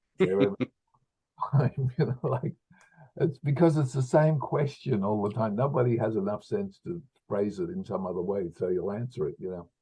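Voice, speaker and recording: A man speaks at a moderate pace in a dark, mellow, somewhat breathy voice of medium pitch, with very wide pitch swings. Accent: Australian. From rural Australia. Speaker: actor. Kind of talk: interview.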